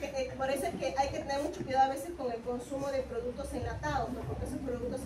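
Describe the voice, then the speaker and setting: Over noticeable background noise and audible room echo, a woman speaks very fast in a high pitch with fairly even intonation. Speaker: university lecturer. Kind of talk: lecture. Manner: interactive, questioning.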